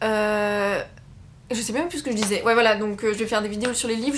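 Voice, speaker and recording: The woman's voice is fairly high. She speaks very fast. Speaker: book YouTuber. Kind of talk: casual chat. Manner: hesitant, many fillers.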